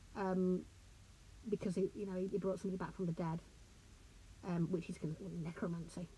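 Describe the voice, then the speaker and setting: Her voice is somewhat breathy and dark, mellow in tone, set at a medium pitch. The woman speaks at a fairly quick pace with monotone, flat intonation. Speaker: author and lecturer. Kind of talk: lecture. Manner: hesitant, conversational.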